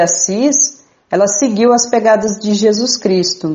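A plain, everyday voice at a fairly slow pace, with lively intonation. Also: woman. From Mato Grosso do Sul, Brazil (Bataiporã). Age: 30s. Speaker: Franciscan nun. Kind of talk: radio interview.

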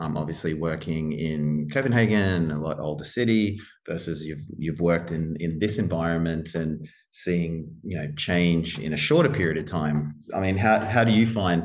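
This man has a very deep, low voice and speaks at a moderate pace with ordinary pitch variation. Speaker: property development design director. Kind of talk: casual interview.

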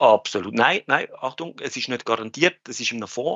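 A man's mid-range voice moves along at a fairly brisk clip. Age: 30s. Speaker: finance industry worker. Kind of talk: casual chat. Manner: halting.

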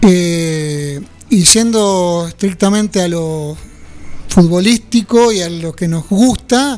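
The pace is very slow. Pitch varies in an ordinary way. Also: man, high pitch for a man. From Buenos Aires province, Argentina (French, Nueve de Julio). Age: 60s. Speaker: former football player. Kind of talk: radio interview.

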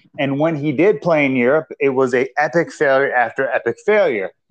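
With an unremarkable speaking voice, a man talks at a moderate pace in a fairly high pitch, with ordinary pitch variation. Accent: American. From Minnesota, US. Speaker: football podcast co-host. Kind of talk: casual chat.

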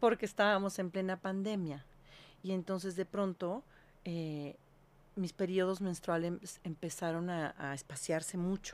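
In a very clean recording with a silent background, a woman with a normal speaking voice and a medium pitch speaks at a fairly slow pace with fairly even intonation. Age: 50s. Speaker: holistic health consultant. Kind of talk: interview.

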